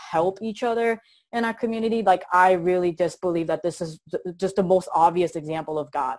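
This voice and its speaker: A woman with a Korean accent at a fairly quick pace. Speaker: motivational speaker. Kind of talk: interview. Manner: animated.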